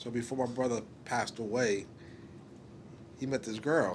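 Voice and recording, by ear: The speaker talks at a fairly slow pace with fairly even intonation. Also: man, medium pitch for a man.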